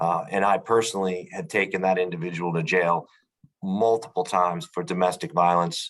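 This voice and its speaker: With a very deep, low pitch, a man delivers his words at a moderate pace. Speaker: law enforcement officer. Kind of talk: online meeting discussion. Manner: halting, many fillers and repetitions.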